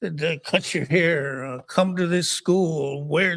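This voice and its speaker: A man talks at a very slow pace with fairly even intonation. His pitch sits fairly high. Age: 70s. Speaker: recovery speaker. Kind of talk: testimony. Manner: halting, many repeated words.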